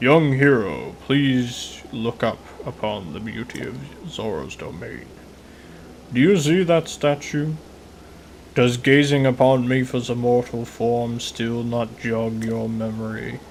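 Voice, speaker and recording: Clear background noise accompanies a man doing a put-on character voice. He uses a medium pitch and a fairly slow pace. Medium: solo performance. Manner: formal, stately, booming warmth.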